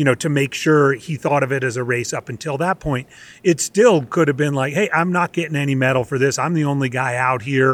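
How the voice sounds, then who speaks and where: Here a man talks at a fairly high pitch with ordinary pitch variation. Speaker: running coach. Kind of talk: podcast interview. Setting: outdoors at a national park, remote call.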